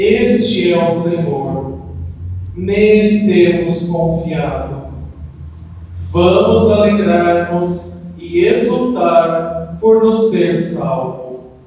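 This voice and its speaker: Strong room echo surrounds a man speaking at a high pitch. He goes very slowly, with long, frequent pauses. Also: ordinary pitch variation. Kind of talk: scripture reading. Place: church. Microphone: camera far.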